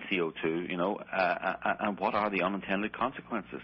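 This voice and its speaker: Speaking with an Irish accent, a man talks at a very fast pace. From Ireland. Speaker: documentary filmmaker and journalist. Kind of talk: radio interview. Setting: radio show. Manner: calm, measured.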